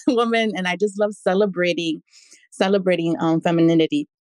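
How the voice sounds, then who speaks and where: A woman talks at a moderate pace with medium pitch. She has a plain, everyday voice, and the sound is dry and close with no echo. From New York City. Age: 30s. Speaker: artist and fashion designer. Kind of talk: interview. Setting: live audio space.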